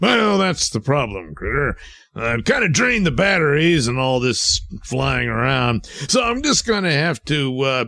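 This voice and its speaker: Against light background noise, a man does a put-on character voice at a fairly high pitch. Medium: audio drama. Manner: blustering, easily exasperated.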